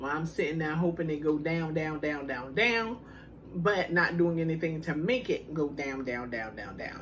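Her pitch is fairly low for a woman, yet it makes very wide swings. She keeps a moderate pace against light background noise. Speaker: food vlogger. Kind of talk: casual vlog chat. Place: home room. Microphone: phone near.

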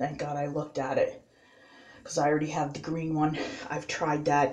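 Speaking at a fairly quick pace, a woman uses a very deep, low voice. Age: 40s. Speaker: beauty vlogger. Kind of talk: makeup tutorial. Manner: casual, halting. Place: bathroom. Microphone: phone near.

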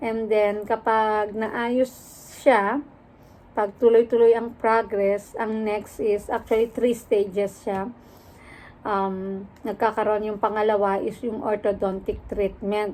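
A woman with a fairly high pitch talks very slowly in a flat, monotone way. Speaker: vlogger; rehab therapist. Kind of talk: casual vlog story time.

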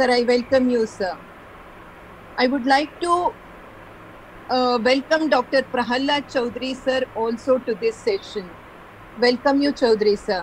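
A woman with a high voice leaves long, frequent pauses over light background noise. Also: ordinary pitch variation, fairly slow pace. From India. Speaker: college lecturer, event moderator. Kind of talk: formal introduction. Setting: video call. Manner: formal. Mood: polite, respectful. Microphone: video call.

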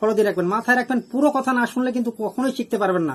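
A man's voice at an extremely high pitch. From Bangladesh, Jessore. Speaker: angling vlogger. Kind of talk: tutorial.

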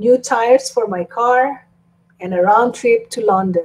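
A woman at a very slow pace, fairly high in pitch, with ordinary pitch variation. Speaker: YouTube live streamer. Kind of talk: live stream chat reading viewer comments. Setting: live stream at home. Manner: animated. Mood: cheerful, playful. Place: home room. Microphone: webcam.

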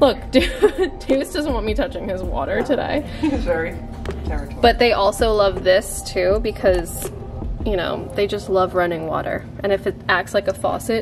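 A woman talks at a moderate pace while faint music sits in the background. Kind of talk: casual product review. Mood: cheerful, laughing.

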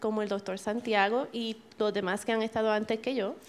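Flat, monotone intonation runs through speech that moves at a fairly quick pace. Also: woman. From Puerto Rico. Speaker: interpreter; speaker. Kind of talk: consecutive interpretation. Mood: formal, calm. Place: hall.

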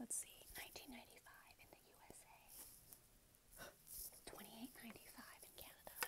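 A woman whispers in a calm tone at a fairly quick pace. She leaves long, frequent pauses. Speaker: ASMR creator. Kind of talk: ASMR triggers video, casual talk to camera. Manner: soft-spoken, calm. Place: home room. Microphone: earbuds.

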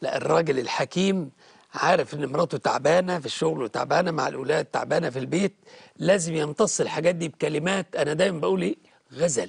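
A man with a fairly high pitch and vocal fry, at a fairly quick pace with ordinary pitch variation, over a quiet background. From Egypt. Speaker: Coptic Orthodox bishop. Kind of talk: TV interview, pastoral advice. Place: studio. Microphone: lapel.

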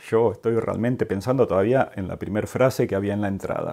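A man with a dark, mellow tone and medium pitch speaks at a moderate pace. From Argentina, Mar del Plata. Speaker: art educator YouTuber. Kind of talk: museum review vlog. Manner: casual, conversational.

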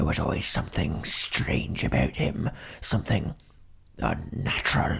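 The speaker is a man. He talks at a moderate pace. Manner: indignant, blustering, spiteful.

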